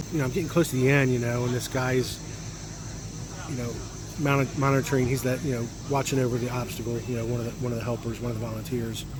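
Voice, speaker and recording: A man talks very fast at a medium pitch, his intonation monotone and flat. Long, frequent pauses break up the speech, and room echo is audible. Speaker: travel vlogger. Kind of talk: casual vlog monologue. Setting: outdoors at a festival. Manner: hesitant with fillers.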